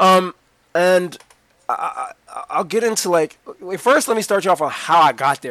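Speaking with an American accent, a high-pitched man keeps a moderate pace, the sound dry and close with no echo. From Washington, D.C. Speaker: former professional basketball player. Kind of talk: casual interview.

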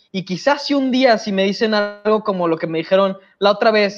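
A man speaks at a fairly quick pace with a Mexican accent. His pitch is high. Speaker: podcast co-host. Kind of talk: casual chat.

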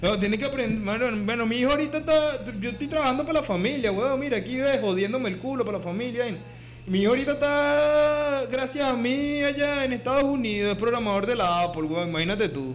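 Over music in the background, a man talks at a very fast pace with an extremely high pitch and ordinary pitch variation. His Venezuelan accent comes through, with audible room echo. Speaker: comedy podcast co-host. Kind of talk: casual chat.

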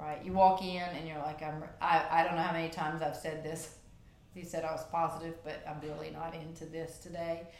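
A woman talks at a fairly quick pace in a fairly low, monotone, flat voice with big swings in loudness. The recording has noticeable background noise and audible room echo. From Louisiana, Cajun Country. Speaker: gym member, athlete of the month. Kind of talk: casual interview. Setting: studio.

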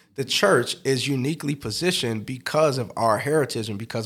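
In an American accent, a man uses a normal speaking voice with ordinary pitch variation, recorded very cleanly against a silent background. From US Midwest, South Side of Chicago. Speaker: pastor and musician. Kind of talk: interview conversation.

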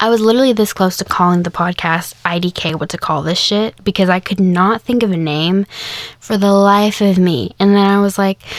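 A woman talks in a plain, everyday voice with an American accent. Her pitch is medium with ordinary variation, and her pace is moderate. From Kansas, US. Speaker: podcast host. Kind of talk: casual monologue. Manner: casual, with fillers.

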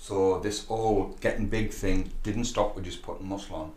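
In a British accent, a man talks in a flat monotone at a fairly low pitch, sounding somewhat breathy. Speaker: gym owner and fitness coach. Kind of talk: casual chat. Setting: gym.

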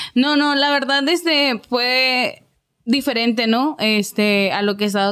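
At a fairly slow pace, a woman speaks with very even loudness and ordinary pitch variation. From Ciudad Juárez, Chihuahua, Mexico. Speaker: singer. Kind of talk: interview.

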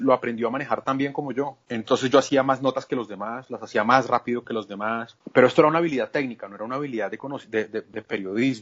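Talking at a fairly quick pace, a man speaks at a medium pitch. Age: 40s. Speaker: journalist. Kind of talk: interview. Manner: halting, frequent repetitions.

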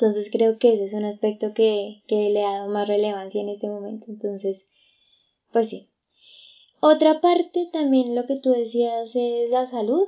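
A woman talks at a fairly slow pace. Her fairly high voice shows ordinary pitch variation. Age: 20s. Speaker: psychologist, podcast co-host. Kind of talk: casual chat.

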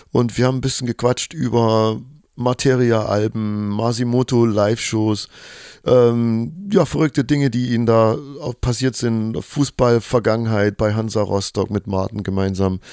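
In a dark, mellow tone, a man speaks at a medium pitch and a fairly slow pace with fairly even intonation, on a very clean recording with a silent background. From Chemnitz, Saxony, Germany. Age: 30s. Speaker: podcast host and DJ. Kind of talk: casual interview chat. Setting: hotel lobby.

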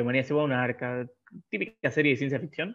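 A man's medium-pitched voice in a Rioplatense accent, at a very fast pace with fairly even intonation. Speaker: podcast co-host. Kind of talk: casual chat. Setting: in-person studio recording.

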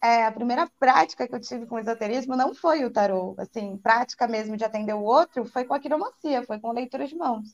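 A woman with a plain, everyday voice speaks at a fairly high pitch and a fairly quick pace, with hardly any pauses and ordinary pitch variation, in a dry, close sound with no echo. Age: 30s. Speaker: tarot reader. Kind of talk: casual chat.

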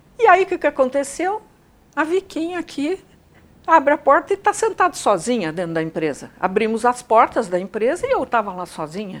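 Her pitch is high and swings very widely. The woman speaks at a fairly quick pace. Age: 70s. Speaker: psychologist and executive coach. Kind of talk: interview conversation.

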